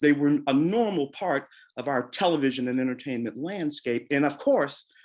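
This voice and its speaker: At a moderate pace, a man with an American accent and a normal speaking voice talks in a fairly high pitch against a quiet background. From St. Louis, US Midwest. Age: 60s. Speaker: moderator, film critic. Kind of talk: Q&A panel conversation.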